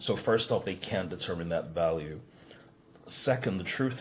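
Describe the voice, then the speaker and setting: With an American accent, a man talks at a moderate pace, his pitch varying in an ordinary way. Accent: sophisticated, heard as American. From England. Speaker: business coach. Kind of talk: podcast interview. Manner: hesitant, repeats words.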